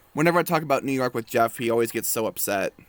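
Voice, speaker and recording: Over music in the background, a man at medium pitch talks at a fairly quick pace with ordinary pitch variation, the sound dry and close with no echo. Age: 20s. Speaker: gaming youtuber. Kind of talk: let's play commentary, reading game dialogue aloud. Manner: casual, hesitant with fillers.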